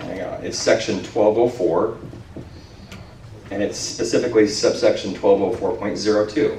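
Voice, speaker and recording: Long, frequent pauses break up a man's moderate-paced speech. Noticeable background noise and audible room echo fill the recording. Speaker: city planning official. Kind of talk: public meeting Q&A. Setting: community meeting with handheld mic. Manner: loud.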